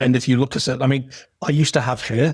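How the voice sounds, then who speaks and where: With a northeast English accent, a somewhat breathy man talks at a fairly quick pace in a dry, close sound with no echo. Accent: modified northeast English. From northeast England. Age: 60s. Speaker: professional and podcast guest. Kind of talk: interview conversation. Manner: repetitive, with frequent restarts.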